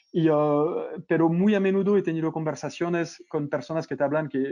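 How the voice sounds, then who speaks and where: With a French accent, a man speaks at a fairly quick pace and fairly high pitch, his tone dark and mellow and his intonation fairly even. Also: quiet background. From France. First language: French (speaking Spanish). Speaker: e-commerce consultant. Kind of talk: webinar interview. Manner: halting with fillers.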